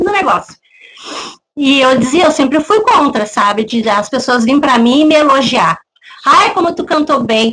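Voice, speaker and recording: With lively intonation, a woman speaks in a high voice. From southern Brazil, Rio Grande do Sul. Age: 40s. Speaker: church deaconess and worship singer. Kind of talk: testimony interview.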